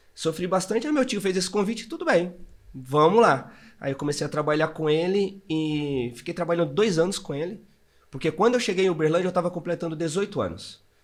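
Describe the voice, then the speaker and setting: In a very clean recording with a silent background, a man with a high pitch speaks at a fairly quick pace with ordinary pitch variation. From northeastern Brazil, Maceió, Alagoas. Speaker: entrepreneur. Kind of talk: interview, personal life story.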